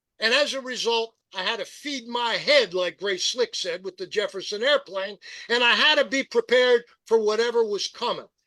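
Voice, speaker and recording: In a raised, projected voice with an American accent, a man speaks at an extremely high pitch, bright and sharp in tone, with ordinary pitch variation at a moderate pace, the sound dry and close with no echo. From US, rural central Pennsylvania (Perry County). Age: 70s. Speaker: journalist and radio host. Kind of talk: podcast interview.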